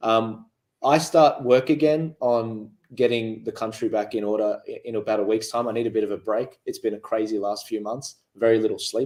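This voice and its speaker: With an Australian accent, a man of medium pitch speaks with fairly even intonation. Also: moderate pace. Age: 20s. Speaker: political activist. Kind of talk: panel discussion. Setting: studio. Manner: halting.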